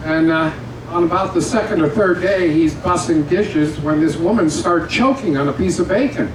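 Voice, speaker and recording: A man's high-pitched voice at a moderate pace, with ordinary pitch variation, very even loudness, noticeable background noise and audible room echo. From Canada. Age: 80s+. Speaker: comedian. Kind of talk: stand-up. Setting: stage with audience.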